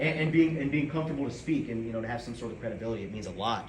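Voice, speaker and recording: Loud and very fast, a man speaks at a medium pitch with lively intonation, audible room echo and noticeable background noise. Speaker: student club president. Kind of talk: speech. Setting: room with audience, no microphones. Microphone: no mic, speaking from the chest.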